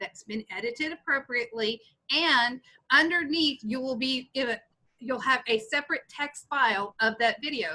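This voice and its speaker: The voice is raised and projected, bright and sharp in tone, with lively intonation at a moderate pace. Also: woman. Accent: Texas. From Texas. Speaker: instructional technology trainer; teacher. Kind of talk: tutorial. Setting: video call. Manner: casual, with many fillers. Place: home room. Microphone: webcam.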